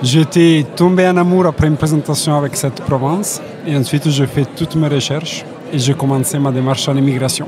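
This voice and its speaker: With a slight Italian accent, the speaker talks at a fairly quick pace with very even loudness and fairly even intonation, over noticeable background noise. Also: man, fairly high pitch for a man. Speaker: immigration agent. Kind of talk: interview. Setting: trade fair.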